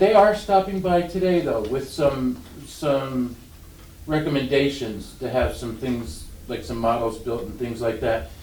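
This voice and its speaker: A medium-pitched man with lively intonation amid audible room echo. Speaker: county commissioner. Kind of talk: public meeting discussion. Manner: fast; halting.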